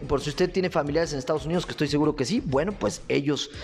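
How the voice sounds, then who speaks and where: Someone with a Mexican accent speaks in an animated tone over noticeable background noise. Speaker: comedic radio news host. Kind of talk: comedic news commentary. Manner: loud.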